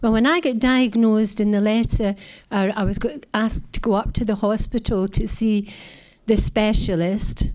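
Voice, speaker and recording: A woman's fairly high voice in a Scottish accent, with fairly even intonation and very even loudness. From Scotland. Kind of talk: talk to an audience. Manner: slow.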